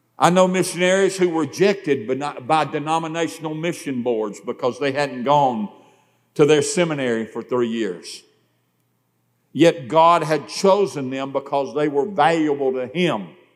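Moderate pace and ordinary pitch variation from a man with a fairly high voice. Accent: Southern US. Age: 60s. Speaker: preacher. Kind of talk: sermon. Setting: church.

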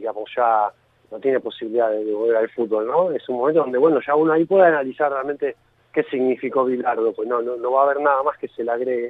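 A man talks at a medium pitch with ordinary pitch variation, in an unremarkable speaking voice. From Argentina, Villa Gesell (Buenos Aires province). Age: 40s. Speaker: author and sports journalist. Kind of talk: interview.

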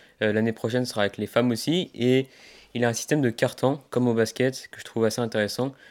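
A man speaks at a fairly quick pace and a medium pitch. The recording is very clean, with a silent background. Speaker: tennis podcast host. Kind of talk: casual interview. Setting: outdoors for the intro. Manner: hesitant with fillers.

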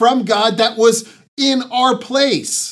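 This man speaks with an American accent at a very slow pace. His pitch is extremely high. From Southern California, San Diego. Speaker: pastor. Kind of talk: sermon. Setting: online church broadcast.

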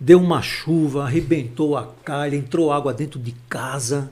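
Fairly high-pitched and somewhat breathy, a man speaks at a fairly slow pace in a dark, mellow tone. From Recife, Pernambuco, Brazil. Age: 60s. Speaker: pastor and teacher. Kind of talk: casual interview. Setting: studio livestream.

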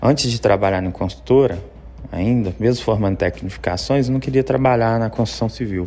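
Amid noticeable background noise, a man with a fairly low pitch and ordinary pitch variation talks at a fairly quick pace. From Belo Horizonte, Minas Gerais, Brazil. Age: 30s. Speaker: personal trainer. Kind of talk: interview. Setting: remote connection.

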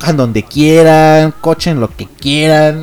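Over noticeable background noise, a man with a fairly high pitch speaks very slowly in a Mexican accent. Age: 20s. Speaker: online radio host. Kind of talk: casual solo radio chat. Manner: hesitant, many fillers.

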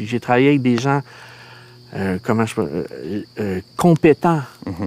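Speaking with a Quebec accent, a man uses lively intonation at a medium pitch and a fairly slow pace. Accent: Québécois French. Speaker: filmmaker. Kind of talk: casual chat.

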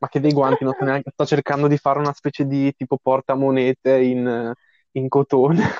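A man with a fairly high pitch speaks in a monotone, flat intonation. The sound is dry and close with no echo. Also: fairly quick pace. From Lombardy, northern Italy. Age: young. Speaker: podcast co-host. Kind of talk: casual chat.

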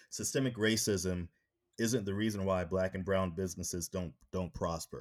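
Very deep and low in pitch, a man speaks with fairly even intonation on a very clean recording with a silent background. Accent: American. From North Carolina. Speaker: podcast host. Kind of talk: interview conversation.

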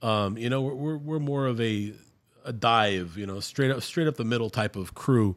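On a very clean recording with a silent background, a man at medium pitch speaks at a moderate pace with ordinary pitch variation. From Brownsville, Texas. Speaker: podcast host. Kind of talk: casual conversation, civil discussion of politics.

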